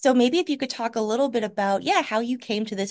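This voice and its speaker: A woman's fairly high-pitched, unremarkable speaking voice at a fairly quick pace, over a quiet background. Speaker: library podcast host. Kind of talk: casual interview chat.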